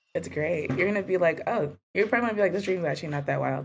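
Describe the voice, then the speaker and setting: A woman's animated tone and lively intonation, with music in the background. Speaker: podcast host. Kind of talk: casual chat.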